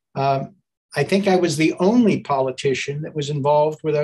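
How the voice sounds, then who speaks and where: The voice is somewhat breathy over a quiet background. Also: man. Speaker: politician giving opening remarks. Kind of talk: opening remarks speech. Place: office. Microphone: video call.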